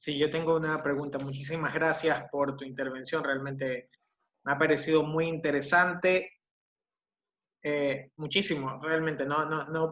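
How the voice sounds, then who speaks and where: A man with a fairly high pitch and a bright, sharp tone talks at a fairly slow pace in a flat monotone. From Ecuador. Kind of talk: audience question. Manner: halting.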